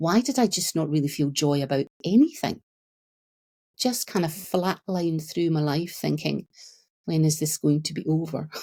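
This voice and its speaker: Somewhat breathy and very deep and low in pitch, a woman speaks with a Scottish accent at a moderate pace and with ordinary pitch variation. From Scotland. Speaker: therapist. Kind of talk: podcast interview.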